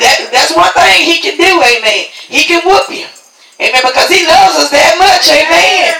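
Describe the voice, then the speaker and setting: With noticeable background noise, a man with a Southern US accent talks in a raised, projected voice at a moderate pace. His pitch is extremely high and his tone is warm. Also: ordinary pitch variation. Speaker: church host introducing speaker and closing the service. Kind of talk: church service MC, call-and-response prayer and announcements. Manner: warm, repetitive with frequent 'Amen'.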